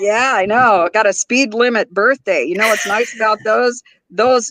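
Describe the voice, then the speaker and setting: In an ordinary speaking voice with an American accent, a woman talks at a moderate pace and fairly high pitch, with ordinary pitch variation, very even loudness and a dry, close sound with no echo. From US Pacific Northwest, Oregon. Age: 60s. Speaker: YouTuber. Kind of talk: casual chat.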